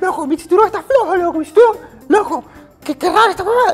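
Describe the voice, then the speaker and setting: A put-on character voice races along at a very fast pace, with faint music in the background. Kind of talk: casual street slang. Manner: panicked, exclaiming.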